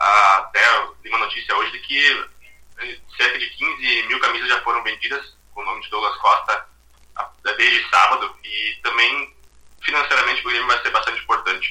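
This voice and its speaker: Long, frequent pauses mark the speech over noticeable background noise. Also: man, moderate pace. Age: 20s. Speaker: football fan guest, administrator. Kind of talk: casual chat.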